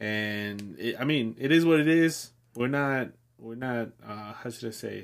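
The speech comes at a fairly slow pace, with ordinary pitch variation and big swings in loudness. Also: man, medium pitch for a man. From Mexico, raised in the US. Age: 20s. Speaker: podcast co-host. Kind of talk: casual chat.

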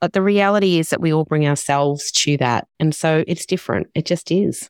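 The recording is very clean with a silent background, carrying a woman's plain, everyday voice. Her intonation is lively and her pace moderate. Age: 50s. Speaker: founder of a magazine and platform for women over forty. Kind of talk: interview.

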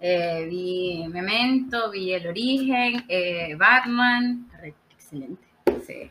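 Speaking with a Maracaibo accent at a very slow pace, a woman at a medium pitch uses lively intonation and big swings in loudness. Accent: Venezuelan Spanish (Maracaibo, Zulia). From Venezuela, Maracaibo. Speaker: podcast guest. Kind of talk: casual chat.

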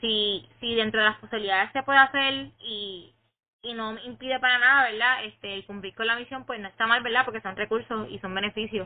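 Her pitch is fairly high and her intonation fairly even. The woman speaks at a fairly quick pace. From Puerto Rico. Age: 20s. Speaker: young guest. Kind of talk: casual chat. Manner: halting.

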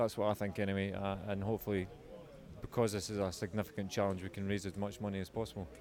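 A man talks in a Scottish accent. His pitch is fairly low. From Scotland. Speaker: ocean rowing adventurer. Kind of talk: interview. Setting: outdoors at an airshow.

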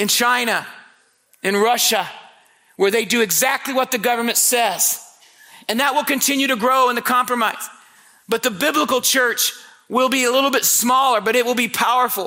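The voice is raised and projected, with very even loudness. Long pauses come often. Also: man, extremely high pitch for a man, fairly even intonation, moderate pace. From Indiana, US Midwest. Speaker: visiting preacher. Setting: church camp meeting with live audience. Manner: conversational and humorous, with storytelling asides.

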